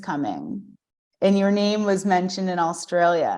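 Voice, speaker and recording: A woman talks in a US Northeastern accent at a medium pitch. Her pitch varies in an ordinary way, and her pace is fairly slow. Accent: US Northeast. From US Northeast (Vermont, southern New Jersey). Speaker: yoga teacher and studio owner. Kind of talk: casual chat.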